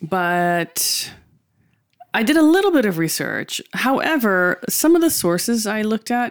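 A woman's fairly slow speech with an American accent, medium in pitch with very wide pitch swings, on a very clean recording with a silent background. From USA. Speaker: podcast co-host. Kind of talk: casual chat.

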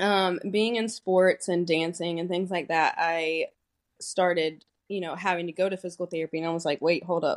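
Recorded with a dry, close sound and no echo, a plain, everyday voice moves at a moderate pace. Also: woman. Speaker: physical therapist. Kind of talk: casual interview chat.

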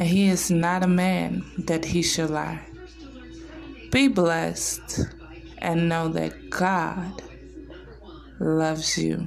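Music plays in the background as a woman speaks with a warm tone. Her pace is very slow, with long, frequent pauses. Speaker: social media personality. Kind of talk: devotional prayer; morning devotional vlog. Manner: fervent, earnest; warm, reverent, measured.

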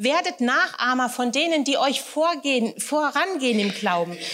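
This woman's voice is high and her intonation lively. She talks at a fairly slow pace. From Hesse, Germany (Wächtersbach). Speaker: guest preacher. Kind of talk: sermon.

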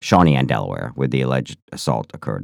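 Talking at a very fast pace, a man is heard. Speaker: podcast co-host. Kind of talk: casual chat.

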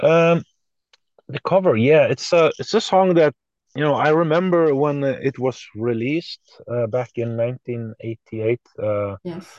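A man with a Norwegian accent speaks at a very slow pace, fairly high in pitch with lively intonation. The background is quiet and the sound is dry and close with no echo. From Norway. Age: 40s. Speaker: musician. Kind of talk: interview.

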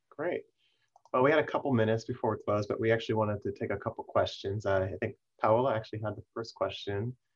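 Talking at a very fast pace, a man with a medium pitch sounds somewhat breathy, his intonation fairly even. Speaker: event moderator and interviewer. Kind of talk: formal introduction then interview. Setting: webinar with audience.

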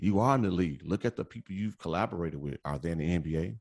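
Against a quiet background, a man with an American accent speaks loudly in a very deep, low voice with lively intonation. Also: dry, close sound with no echo. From Chicago area, Indiana. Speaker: podcast guest, sports podcaster. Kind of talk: casual podcast interview.

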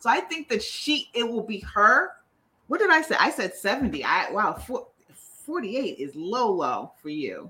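Her tone bright and sharp, a woman at a fairly high pitch speaks at a moderate pace with vocal fry and very wide pitch swings. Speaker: podcast co-host. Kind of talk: casual chat, reality TV recap.

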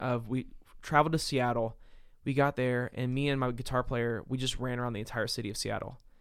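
In an American accent, a man talks very fast at a medium pitch with flat, monotone intonation on a very clean recording with a silent background. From US South, Nashville, Tennessee. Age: 30s. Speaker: singer-songwriter. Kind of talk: casual chat. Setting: abroad in Africa, informal.

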